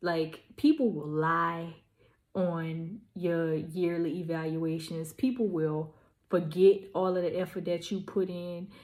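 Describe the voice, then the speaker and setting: Her pace is very slow. The woman's pitch is fairly low, and her intonation is fairly even. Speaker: vlogger and small business owner. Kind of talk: casual vlog monologue. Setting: at home packing orders.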